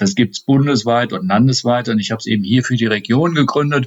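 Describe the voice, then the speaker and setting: Pitched at a medium level, a man talks in a normal speaking voice with ordinary pitch variation. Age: 50s. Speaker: state politician. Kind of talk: interview.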